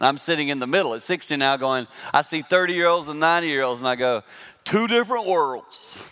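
This man speaks at a moderate pace with a Southern US accent and fairly high pitch. His intonation is lively, and there is noticeable background noise. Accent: Southern American. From US South. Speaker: pastor. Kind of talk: sermon.

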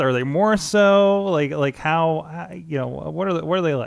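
The man has an unremarkable speaking voice with a fairly high pitch. He talks at a fairly slow pace on a very clean recording with a silent background. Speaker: wrestling podcast host. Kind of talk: casual interview. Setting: studio, streamed live.

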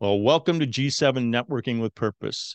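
A man with an unremarkable speaking voice talks at a moderate pace and medium pitch with ordinary pitch variation, over a quiet background in a dry, close sound with no echo. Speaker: podcast host. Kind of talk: interview.

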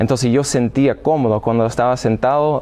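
A man with an American accent at a moderate pace, amid noticeable background noise. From US Midwest, Illinois. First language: English (speaking Spanish). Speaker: seminarian and former professional soccer player. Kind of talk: interview. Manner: halting.

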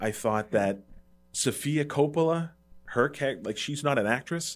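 Music plays in the background as a man speaks at medium pitch. His intonation is lively and his pace moderate. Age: 30s. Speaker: movie podcast host. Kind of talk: casual chat. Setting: studio.

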